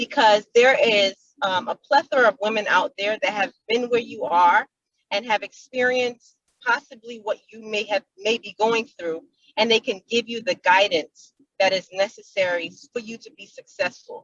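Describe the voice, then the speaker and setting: A woman with an ordinary speaking voice, fairly high in pitch, at a moderate pace, with ordinary pitch variation and big swings in loudness. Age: young. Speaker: young business woman, entrepreneur. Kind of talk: panel discussion.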